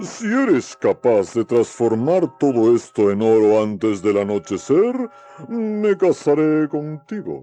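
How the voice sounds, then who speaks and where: Doing a put-on character voice at medium pitch, a man talks at a fairly slow pace with very wide pitch swings while faint music plays in the background. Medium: read story. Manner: commanding, emphatic.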